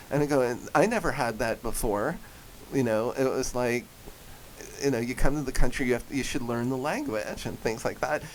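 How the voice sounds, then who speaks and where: With a New Jersey accent, a man speaks at a moderate pace, at medium pitch and with ordinary pitch variation. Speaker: voice actor and comedian. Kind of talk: radio interview. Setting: radio studio. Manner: animated.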